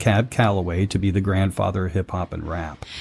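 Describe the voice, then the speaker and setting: Recorded very cleanly against a silent background, a man with an ordinary speaking voice and a fairly low pitch talks at a moderate pace. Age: 60s. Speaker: podcast host. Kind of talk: casual chat.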